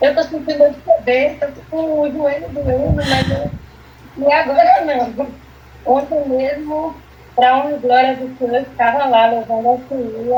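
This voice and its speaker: A woman's high-pitched voice at a fairly slow pace, with ordinary pitch variation over noticeable background noise. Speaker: therapy patient, church member. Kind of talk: testimony.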